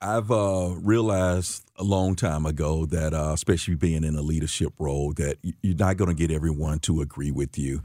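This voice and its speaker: This man has a very deep, low pitch and a dark, mellow tone, with an American accent and ordinary pitch variation. He talks at a fairly quick pace with hardly any pauses, on a very clean recording with a silent background. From St. Louis, Missouri. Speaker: police chief. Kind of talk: radio interview. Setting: studio.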